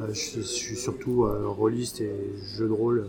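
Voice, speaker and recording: Fairly even intonation runs through an unremarkable speaking voice. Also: man. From France (Paris). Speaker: role-playing game association volunteer. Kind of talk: casual interview.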